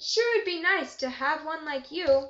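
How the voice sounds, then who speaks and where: A woman puts on a squeaky character voice at an extremely high pitch. She talks at a moderate pace. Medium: read story. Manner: roaring, booming.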